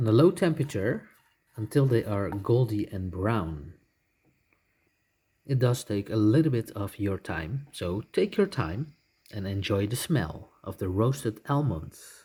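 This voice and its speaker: A man with a medium pitch speaks at a fairly slow pace, somewhat breathy and with lively intonation. Long, frequent pauses break up his speech on a very clean recording with a silent background. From Netherlands. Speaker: home cook vlogger. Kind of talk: cooking tutorial voice-over.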